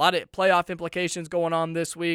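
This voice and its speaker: High-pitched male voice, energetic, bright and sharp in tone, at a fairly quick pace, with a dry, close sound with no echo on a very clean recording with a silent background. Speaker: college radio sports host. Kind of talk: live college radio sports show patter, upbeat and conversational with game predictions. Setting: radio studio, live broadcast. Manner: energetic, chatty, rattling off predictions and sign-offs like a sports DJ.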